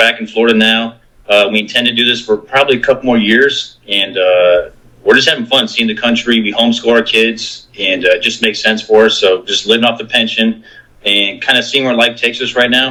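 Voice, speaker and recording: He speaks fairly quickly, with fairly even intonation. The man has an ordinary speaking voice, medium in pitch. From US, military family, moved around. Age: 40s. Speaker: Coast Guard veteran. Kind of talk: casual interview.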